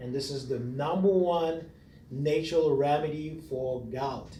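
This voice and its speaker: A man's fairly high, somewhat breathy voice with a dark, mellow tone, fairly even intonation and a non-native accent, in audible room echo. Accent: foreign. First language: not English. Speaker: massage therapist. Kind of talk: tutorial. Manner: casual, conversational.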